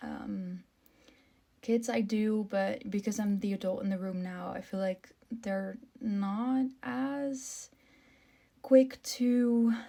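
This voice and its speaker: A woman with a somewhat breathy voice, a fairly high pitch and a dark, mellow tone talks at a very slow pace with long, frequent pauses. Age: 20s. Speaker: content creator with albinism. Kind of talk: casual vlog monologue. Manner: hesitant, many filler ums.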